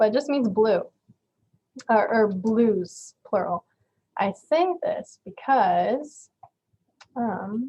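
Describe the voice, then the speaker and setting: A woman's fairly high, somewhat breathy voice with a dark, mellow tone, at a very slow pace full of long, frequent pauses. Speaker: community college event host presenting on French culture. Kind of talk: informal presentation. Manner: casual, filler-heavy.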